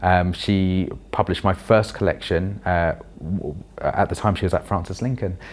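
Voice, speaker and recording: With a London accent, a man speaks at a moderate pace in a very deep, low pitch and fairly even intonation. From London (Roehampton, Wandsworth). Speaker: children's author and performance poet. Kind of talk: interview.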